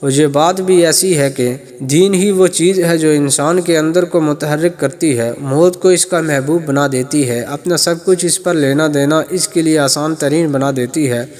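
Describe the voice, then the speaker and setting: A man with a fairly high pitch and fairly even intonation, music in the background. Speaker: narrator. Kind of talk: history narration.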